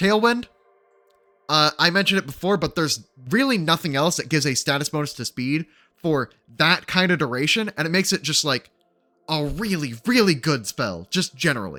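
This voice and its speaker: A man with a fairly high pitch talks at a fairly quick pace with lively intonation. Music plays in the background, and the sound is dry and close with no echo. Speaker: gaming guide youtuber. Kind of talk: tutorial. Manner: fast.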